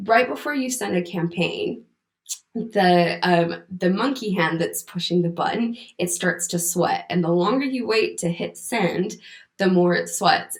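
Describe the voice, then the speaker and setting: At a fairly slow pace, a woman talks with an American accent. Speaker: content writer. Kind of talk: conference talk.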